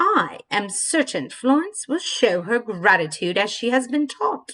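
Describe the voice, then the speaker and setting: This female-sounding voice is a put-on character voice. It sits at a fairly high pitch and moves at a moderate pace. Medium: read story. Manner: stern, clipped.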